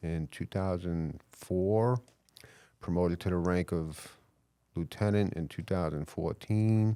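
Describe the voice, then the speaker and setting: A man with a New York accent, very deep, low pitch, dark, mellow tone and fairly even intonation, in a dry, close sound with no echo on a very clean recording with a silent background. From New York (Queens / Long Island). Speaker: police chief. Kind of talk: podcast interview.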